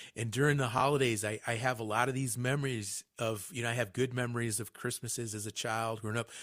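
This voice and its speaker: In a very clean recording with a silent background, a man speaks at a very fast pace. His intonation is monotone and flat. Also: medium pitch for a man, hardly any pauses. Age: 50s. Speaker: radio host. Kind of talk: radio interview.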